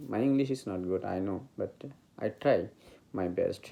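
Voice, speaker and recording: A man with a Bengali accent has a fairly low, dark, mellow voice. His intonation is lively. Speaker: meditation teacher. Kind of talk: spiritual talk. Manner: halting.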